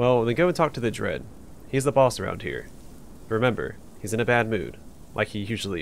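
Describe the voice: The recording captures plain reading aloud.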